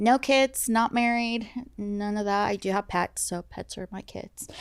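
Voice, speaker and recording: A woman with an American accent and an unremarkable speaking voice talks at a fairly slow pace in a medium pitch, her intonation fairly even and her loudness swinging widely, in a dry, close sound with no echo. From US Pacific Northwest (Seattle). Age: 30s. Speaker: domestic violence survivor sharing her story. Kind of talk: casual self-introduction.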